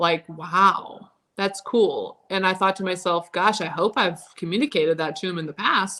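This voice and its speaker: A woman's medium-pitched voice carries a bright, sharp tone and fairly even intonation. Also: moderate pace. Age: 30s. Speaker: live stream co-host. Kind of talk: casual discussion.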